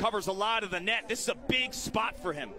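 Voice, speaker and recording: A man's voice against noticeable background noise. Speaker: lacrosse play-by-play commentator. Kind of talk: live play-by-play sports commentary on faceoffs. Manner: rapid-fire, excitable calling of loose-ball scrambles; clipped fragments tracking the ball pass by pass.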